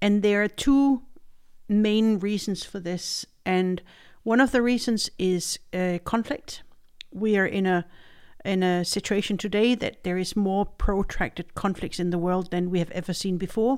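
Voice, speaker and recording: A woman with a Danish accent, medium pitch, ordinary pitch variation and a fairly slow pace, on a very clean recording with a silent background. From Denmark. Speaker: head of a food aid agency's regional office. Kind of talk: interview podcast. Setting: studio.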